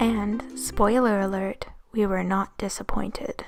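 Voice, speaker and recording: This woman's voice is somewhat breathy. It sits at a fairly high pitch. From Canada. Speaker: amateur naturalist. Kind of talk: nature documentary narration.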